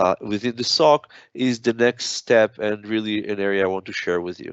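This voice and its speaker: With a non-native accent, a man speaks at a moderate pace and medium pitch with fairly even intonation. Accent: noticeable foreign. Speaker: product manager. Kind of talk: technical webinar presentation. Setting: online webinar. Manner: frequent filler hesitations.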